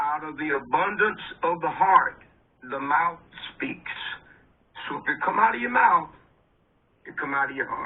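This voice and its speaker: Leaving long, frequent pauses, a man talks at a moderate pace. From Texas, Houston. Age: 60s. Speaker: army veteran, former field medic. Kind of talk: casual interview chat.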